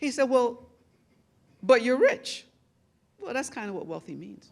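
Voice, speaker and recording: A woman with an American accent speaks at a fairly slow pace. Her loudness swings widely. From New York City, the Bronx. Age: 60s. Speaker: media executive, award honoree. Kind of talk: award acceptance speech. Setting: gala dinner stage with audience.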